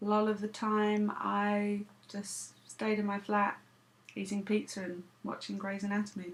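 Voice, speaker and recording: A woman at medium pitch with an English accent, fairly slow pace and monotone, flat intonation. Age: 30s. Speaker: vlogger. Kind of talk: casual vlog monologue.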